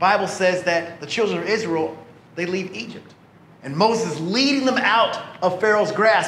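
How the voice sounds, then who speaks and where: At a moderate pace, a man talks in a space with audible room echo. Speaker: pastor. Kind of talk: sermon. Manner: animated.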